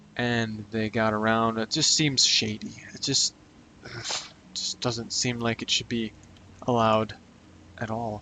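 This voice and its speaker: A quiet, medium-pitched man at a fairly slow pace, monotone and flat, with long, frequent pauses and noticeable background noise. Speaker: gaming youtuber. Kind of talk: gameplay commentary.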